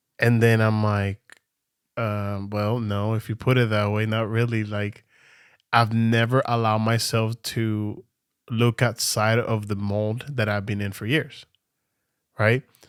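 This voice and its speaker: A man with a non-native accent speaks at a fairly slow pace and a fairly low pitch, in a monotone, flat intonation. The recording is very clean, with a silent background. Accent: noticeable non-native pronunciation. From Venezuela. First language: Spanish. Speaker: podcast co-host, church worship singer. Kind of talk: casual chat.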